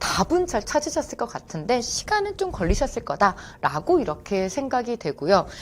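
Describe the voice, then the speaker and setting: With very wide pitch swings and hardly any pauses, a woman talks at a moderate pace in a high pitch. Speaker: Korean language exam instructor. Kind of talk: lecture.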